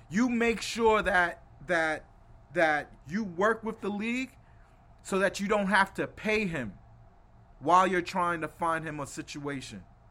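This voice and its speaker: In an American accent, a man speaks at a high pitch in a raised, projected voice that is bright and sharp, with ordinary pitch variation. His tone is animated, and he leaves long, frequent pauses. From New York City, Brooklyn. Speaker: sports podcast host. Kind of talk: casual chat.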